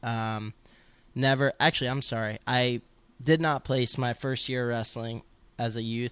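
A man with an American accent talks at a moderate pace in an unremarkable speaking voice, medium in pitch with fairly even intonation. The recording is very clean with a silent background and a dry, close sound with no echo. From New Jersey (Montville). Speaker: wrestler. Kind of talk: interview.

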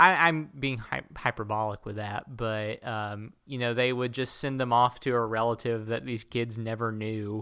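Heard in a very clean recording with a silent background, the voice has a bright, sharp tone, a moderate pace and fairly even intonation. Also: man, medium pitch for a man. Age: 20s. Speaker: podcast co-host. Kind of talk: casual chat.

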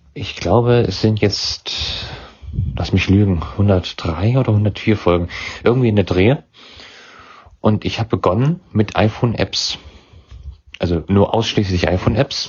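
A man with a fairly low pitch and a somewhat breathy voice speaks fairly slowly with long, frequent pauses and ordinary pitch variation. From Thuringia, Germany (Weimar). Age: young. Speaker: podcaster. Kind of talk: interview.

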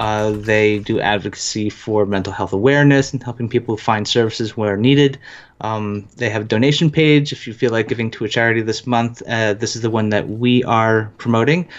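With an American accent, a man talks at medium pitch and a fairly quick pace with hardly any pauses. His intonation is fairly even over a quiet background. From New Jersey, living in northern US. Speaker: executive producer, gamer. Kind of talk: casual livestream chat. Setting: live stream online.

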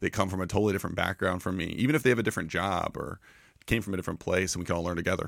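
Talking very fast in a very deep, low voice, a man with an American accent uses ordinary pitch variation on a very clean recording with a silent background. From Florida. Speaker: tech founder. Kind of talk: casual chat. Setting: studio.

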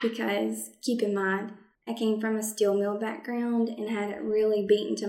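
Speaking at a moderate pace, a woman with a medium pitch keeps her intonation fairly even. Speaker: project manager and podcast host. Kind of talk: scripted-style informative talk, podcast monologue. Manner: sassy, friendly, conversational.

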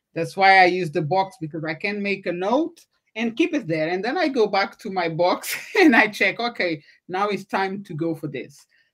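A woman in a plain, everyday voice uses lively intonation, keeping a medium pitch and a moderate pace. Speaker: podcast host. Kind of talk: livestreamed interview. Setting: video call livestream.

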